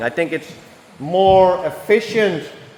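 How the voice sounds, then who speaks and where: Speaking with a non-native accent, a man is heard through noticeable background noise. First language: not English. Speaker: car tuning youtuber. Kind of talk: workshop vlog tutorial. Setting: workshop. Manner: casual, halting with fillers.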